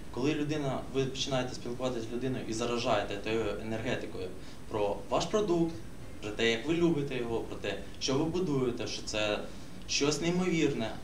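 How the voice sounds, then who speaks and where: In a room with audible echo and light background noise, a man talks at a fairly quick pace with lively intonation. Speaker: social media marketer. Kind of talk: workshop discussion. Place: meeting room. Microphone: camera far.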